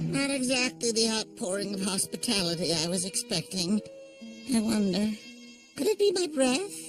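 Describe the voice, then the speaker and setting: A cartoonish character voice with a fairly high pitch speaks at a moderate pace while clear music plays in the background. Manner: fast, manic, goofy.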